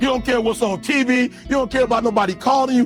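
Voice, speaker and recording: Music plays in the background as a man speaks. His tone is intense and his pitch extremely high. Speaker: motivational speaker. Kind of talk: live motivational speech to an audience. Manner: intense, preaching.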